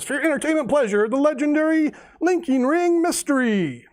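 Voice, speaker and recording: A put-on character voice sits at a high pitch. The delivery moves at a fairly quick pace. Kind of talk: showman announcer. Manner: dramatic.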